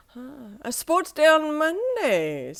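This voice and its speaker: This soft-spoken, put-on character voice sits at a high pitch. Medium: read story. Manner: drowsy, murmuring.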